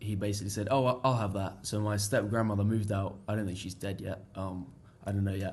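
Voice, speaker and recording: A man's somewhat breathy, fairly low voice at a very fast pace, with monotone, flat intonation and audible room echo. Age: young. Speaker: international student. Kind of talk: casual interview chat.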